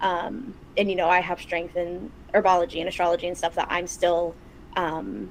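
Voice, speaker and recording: Speaking with an American accent, a woman talks at a moderate pace with fairly even intonation. Her voice is fairly low and has vocal fry. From Chicago, US. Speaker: podcast co-host, practicing witch. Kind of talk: casual chat.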